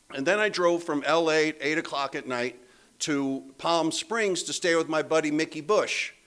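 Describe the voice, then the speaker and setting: A man with a normal speaking voice and an American accent, fairly high in pitch, at a moderate pace with ordinary pitch variation. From Pennsylvania. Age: 60s. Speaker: AA speaker. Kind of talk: recovery testimony talk. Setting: meeting room with live audience. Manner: casual, conversational with many fillers.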